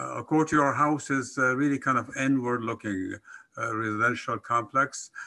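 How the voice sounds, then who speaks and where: Medium in pitch, a man speaks at a moderate pace with a bright, sharp tone and fairly even intonation. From Afghanistan, Kabul. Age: 80s+. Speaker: professor. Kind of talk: conference presentation. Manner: halting, many fillers.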